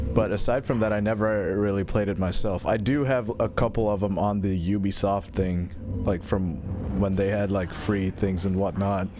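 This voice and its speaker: A man's voice with very even loudness and fairly even intonation against noticeable background noise. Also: fairly low pitch for a man, moderate pace. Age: 20s. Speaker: streamer. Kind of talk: casual chat. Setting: live stream. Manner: casual, halting with repetitions. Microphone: new XLR mic.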